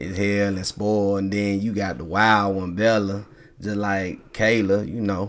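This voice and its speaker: With a strong Southern US accent, a man talks at a fairly slow pace, his fairly low voice keeping a fairly even intonation. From Tennessee, raised in Colorado. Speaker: father guest. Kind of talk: casual chat.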